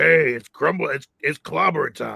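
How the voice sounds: A man puts on a character voice, raspy and gravelly. His pitch is fairly high and his pace fairly slow.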